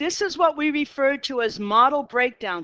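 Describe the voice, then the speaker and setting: A bright, sharp voice with a Boston accent and lively intonation, dry and close with no echo, over a quiet background. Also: woman. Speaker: math teacher. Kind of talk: lecture. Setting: classroom.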